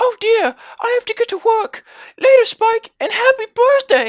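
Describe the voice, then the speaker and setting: A put-on character voice speaks at a moderate pace. It is squeaky and extremely high-pitched. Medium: read story. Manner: loud, bubbly.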